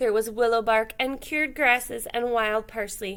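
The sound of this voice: A woman talks at a fairly slow pace in a fairly high, fairly bright voice with fairly even intonation.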